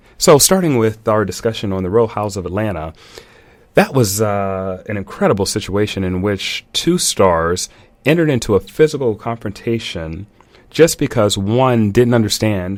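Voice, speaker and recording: A normal speaking voice, lively in intonation and moderate in pace. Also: man. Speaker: radio show host. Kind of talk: radio talk show opening.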